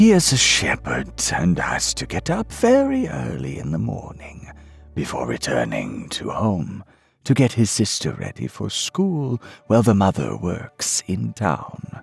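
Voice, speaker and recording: With faint music in the background, a man uses a put-on character voice at a very deep, low pitch and a fairly slow pace. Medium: read story. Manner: respectful, deferential.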